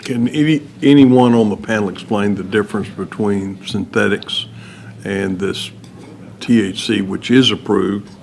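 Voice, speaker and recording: In a West Texas accent, a man talks at a fairly slow pace with ordinary pitch variation. Noticeable background noise is present. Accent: West Texan. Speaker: legislator. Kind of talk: committee questioning.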